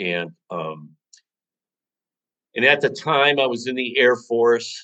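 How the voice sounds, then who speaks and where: Very slowly, a man with an American accent talks at a medium pitch, his tone bright and sharp and his intonation lively. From US Midwest, Chicago. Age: 60s. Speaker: author. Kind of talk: interview. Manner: halting.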